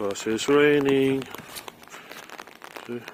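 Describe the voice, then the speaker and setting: A man talks at a very slow pace with a medium pitch. Noticeable background noise runs underneath. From Philippines. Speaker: vlogger. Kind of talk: casual vlog narration. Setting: outdoors in rain.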